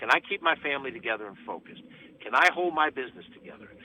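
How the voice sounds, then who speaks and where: A man's voice at medium pitch. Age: 60s. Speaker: county executive politician. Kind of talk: radio interview. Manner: emphatic.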